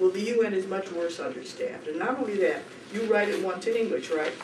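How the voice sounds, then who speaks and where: A fairly quick pace with noticeable background noise. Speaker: human rights lawyer. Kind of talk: conference workshop talk. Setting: conference room with audience. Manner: fast.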